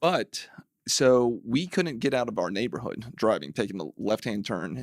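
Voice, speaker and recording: A man speaks at a moderate pace and medium pitch, with vocal fry. The recording is very clean with a silent background and a dry, close sound with no echo. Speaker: city council member. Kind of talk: casual interview.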